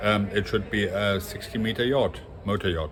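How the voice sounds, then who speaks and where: A man speaks at a fairly low pitch, somewhat breathy. He talks with a non-native accent. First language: not English. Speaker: industrial and yacht designer, design educator. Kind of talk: casual monologue on design. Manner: halting, many fillers.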